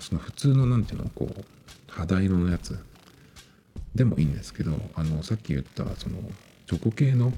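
At a moderate pace, a man with a very deep, low pitch swings very widely in pitch amid noticeable background noise. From Japan. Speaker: solo podcaster. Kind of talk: casual solo monologue. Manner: halting, many fillers.

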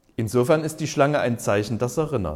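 A man speaks with vocal fry. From East Germany. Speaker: pastor. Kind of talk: sermon. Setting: care home cafeteria.

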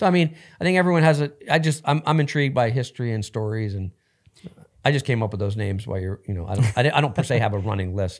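A man with an American accent speaks at a very fast pace in a medium pitch, on a very clean recording with a silent background. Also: lively intonation. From New Jersey. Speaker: business executive and former police officer. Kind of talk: podcast interview.

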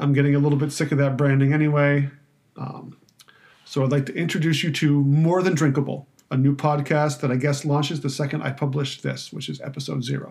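A man speaks with a monotone, flat intonation. His voice comes across as somewhat breathy. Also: fairly high pitch for a man, fairly quick pace. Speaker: wine podcast host and writer. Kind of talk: solo podcast trailer monologue. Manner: halting, filler-heavy, self-deprecating.

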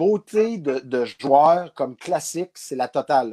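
The voice has a dark, mellow tone and lively intonation. Its sound is dry and close with no echo, in a very clean recording with a silent background. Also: man. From Abitibi, Quebec. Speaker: former baseball player. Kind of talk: interview storytelling.

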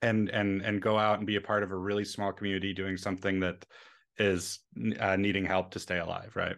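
A man's fairly low voice, fairly quick, in a monotone, flat intonation. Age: 30s. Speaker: software developer. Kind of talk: casual chat. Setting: video call.

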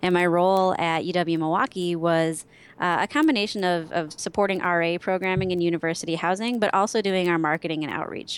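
With an Upper Midwest US accent, the speaker moves at a fairly quick pace and keeps the intonation fairly even. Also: woman, fairly low pitch for a woman, very clean recording, silent background. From Wisconsin. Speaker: social media strategist. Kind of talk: interview.

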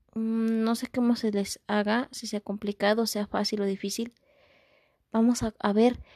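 Against a quiet background, with a dry, close sound and no echo, a woman with a fairly high pitch and a dark, mellow tone speaks at a fairly slow pace in a monotone, flat way, leaving long, frequent pauses. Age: 20s. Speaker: podcast host, visually impaired musician. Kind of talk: motivational talk. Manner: repetitive, warm.

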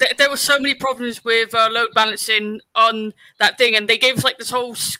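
A man speaks at a moderate pace in a raised, projected voice with an extremely high pitch and a bright, sharp tone, recorded dry and close with no echo. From West Country England. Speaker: podcast co-host and editor. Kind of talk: casual chat.

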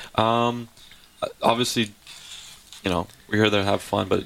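The speaker has a Canadian accent. The intonation is monotone and flat. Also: man. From Canada, Surrey, British Columbia. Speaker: nightclub host. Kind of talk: casual chat.

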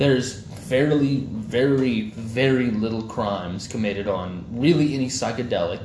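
At a moderate pace, a man with an American accent speaks somewhat breathily at a medium pitch, with ordinary pitch variation. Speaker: podcast host. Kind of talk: casual banter podcast chat. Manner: profane, joking.

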